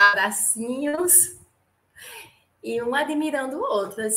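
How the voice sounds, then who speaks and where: A woman with a northeastern Brazilian accent and ordinary pitch variation. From Natal, northeast Brazil. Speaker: podcast guest, fan of the show. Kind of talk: casual film discussion.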